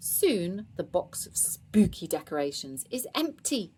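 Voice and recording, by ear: Someone is reading aloud in a natural voice. The reading moves along.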